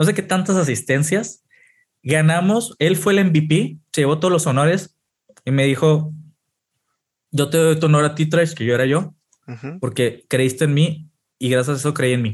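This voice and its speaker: A man speaks at a moderate pace in a fairly high voice, with ordinary pitch variation and long, frequent pauses. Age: 30s. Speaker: esports performance coach. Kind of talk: casual chat.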